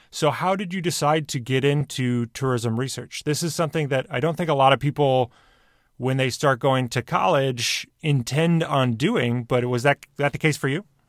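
An unremarkable speaking voice from a man with an American accent, fairly high in pitch for a man with ordinary pitch variation, in a dry, close sound with no echo on a very clean recording with a silent background. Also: moderate pace. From Michigan, US Midwest. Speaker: podcast host. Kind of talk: interview.

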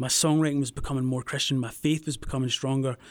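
A man with a Scottish accent talks at a very fast pace. His medium pitch stays in monotone, flat intonation. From Scotland, near Glasgow. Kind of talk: casual interview, faith testimony.

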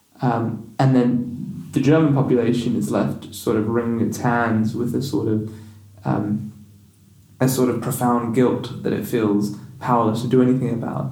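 The man's voice sits at a medium pitch with a dark, mellow tone and is somewhat breathy. He talks at a moderate pace with ordinary pitch variation. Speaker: podcast host. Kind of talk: interview. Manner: halting, repeats words.

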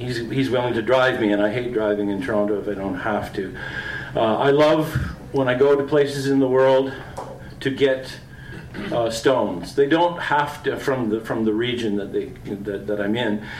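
Noticeable background noise sits behind a man with a Canadian accent. He talks at a moderate pace in a medium pitch with ordinary pitch variation. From Southwestern Ontario, farm. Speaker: poet. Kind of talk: poetry reading. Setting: restaurant event with audience.

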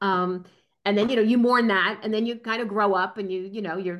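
In an American accent, this is an unremarkable speaking voice with fairly even intonation. The background is quiet. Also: woman. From New Jersey. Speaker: strategy consultant. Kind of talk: casual interview.

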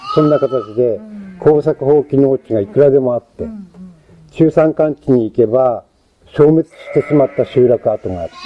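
Fairly high male voice at a moderate pace, intonation lively. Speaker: sheep farmer. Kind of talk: interview. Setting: outdoors on a farm.

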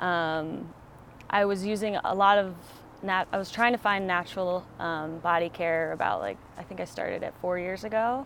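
Over a very clean recording with a silent background, a woman uses a normal speaking voice. Her pitch is medium, her intonation fairly even and her pace moderate. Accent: American. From Colorado. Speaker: herbalist. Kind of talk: interview. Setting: outdoors.

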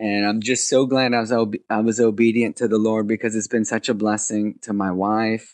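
An unremarkable speaking voice from a man with an American accent, medium pitch, and a moderate pace, with a dry, close sound, no echo, and a quiet background. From New Jersey, US. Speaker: founder of child sponsorship ministry. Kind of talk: interview.

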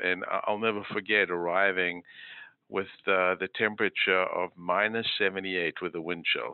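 A man speaks at a fairly slow pace in a very deep, low voice with monotone, flat intonation. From South Africa. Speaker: physician and health system executive. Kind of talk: interview. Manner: hesitant, many fillers.

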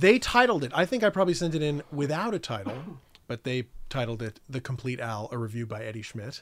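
An unremarkable speaking voice, this man with an American accent talks at a fairly quick pace and medium pitch, with lively intonation and big swings in loudness. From New York City (Staten Island) and Connecticut. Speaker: documentary producer. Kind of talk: casual chat.

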